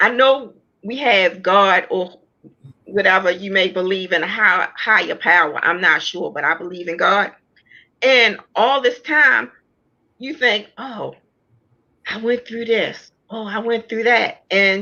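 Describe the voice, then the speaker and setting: A woman at medium pitch speaks in an ordinary speaking voice, with ordinary pitch variation, at a fairly slow pace. Her loudness swings a lot. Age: 60s. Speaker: author sharing personal testimony. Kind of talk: testimony.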